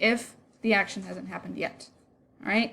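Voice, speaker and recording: A woman speaks with a fairly high pitch. Vocal fry is present in her voice. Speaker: Spanish teacher. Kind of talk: lecture.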